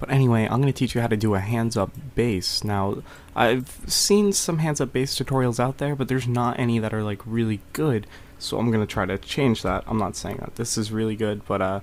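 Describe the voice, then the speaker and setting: Soft-spoken and medium-pitched, a man talks at a fairly quick pace. His pitch varies in an ordinary way. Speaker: music production tutor. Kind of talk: tutorial. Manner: soft-spoken, quiet; casual, hesitant with fillers.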